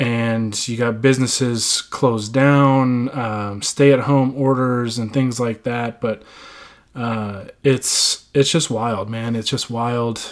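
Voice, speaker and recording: Very slowly, a man speaks at medium pitch with monotone, flat intonation. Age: 20s. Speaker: sports podcast host. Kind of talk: casual solo podcast monologue. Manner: halting, many fillers.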